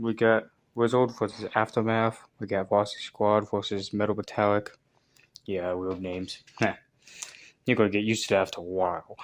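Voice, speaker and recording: On a very clean recording with a silent background, the speaking goes at a moderate pace. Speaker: youtuber hosting toy battle videos. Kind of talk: casual commentary.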